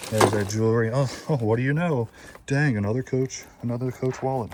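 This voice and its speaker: Noticeable background noise under a man's fairly quick pace. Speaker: storage unit reseller. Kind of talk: casual vlog narration. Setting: inside a storage unit. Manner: animated.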